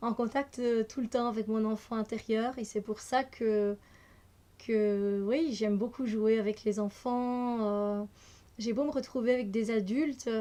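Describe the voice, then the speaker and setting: A woman at a very slow pace, fairly high in pitch, dark and mellow in tone, with fairly even intonation against a quiet background. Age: 30s. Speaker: energy healer and card reader. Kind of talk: casual vlog self-introduction. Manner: hesitant, many fillers.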